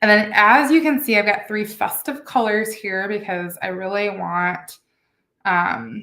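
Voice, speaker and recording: A woman with an unremarkable speaking voice, medium in pitch with ordinary pitch variation, at a fairly slow pace. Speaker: beading instructor. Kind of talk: tutorial. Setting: home studio with camera and lighting.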